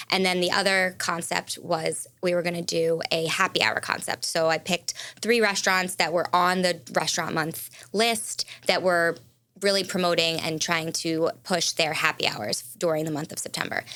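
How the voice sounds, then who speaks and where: A woman speaks with a bright, sharp tone and fairly even intonation at a fairly low pitch. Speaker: food influencer. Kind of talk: casual interview. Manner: fast.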